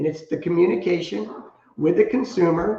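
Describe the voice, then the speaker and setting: Fairly high-pitched male voice with vocal fry and lively intonation. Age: 70s. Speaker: company co-founder and finance executive. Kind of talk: podcast interview. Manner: repetitive, halting with many restarts.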